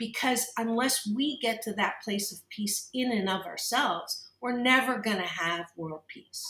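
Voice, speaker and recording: A woman with a Canadian accent has an unremarkable speaking voice at a fairly high pitch. She talks at a fairly slow pace with ordinary pitch variation. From Kitchener-Waterloo, Ontario, Canada. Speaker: organizational psychologist and talk radio host. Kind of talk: interview.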